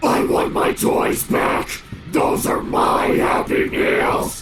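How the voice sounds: In a put-on character voice, a man speaks very slowly at an extremely high, raspy pitch, with clear echo and clear background noise.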